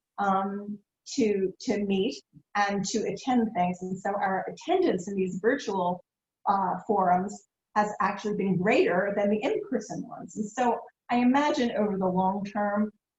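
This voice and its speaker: Somewhat breathy and medium in pitch, a woman talks at a fairly slow pace with ordinary pitch variation. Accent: American. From Philadelphia. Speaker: nonprofit foundation executive. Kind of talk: interview.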